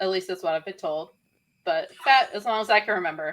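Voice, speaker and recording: A woman speaks in an Appalachian accent. The recording is very clean, with a silent background. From West Virginia. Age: 30s. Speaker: podcast co-host. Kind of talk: casual chat.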